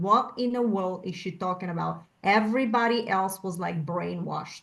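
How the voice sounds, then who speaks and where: In a Bulgarian accent, a woman speaks at a moderate pace with ordinary pitch variation. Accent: Bulgarian, noticeable. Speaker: panel guest. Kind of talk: panel discussion.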